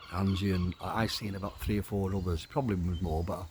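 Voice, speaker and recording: Over noticeable background noise, a man with a northern English accent keeps a fairly even intonation. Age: old. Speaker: carer for his wife, video diarist. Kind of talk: casual video diary monologue. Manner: halting.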